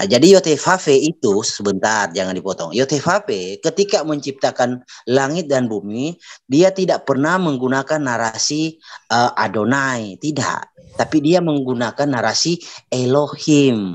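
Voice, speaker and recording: Speaking at a fairly slow pace against a quiet background, a man uses very wide pitch swings. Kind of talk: religious debate. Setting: video call. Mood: assertive, argumentative. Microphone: video call.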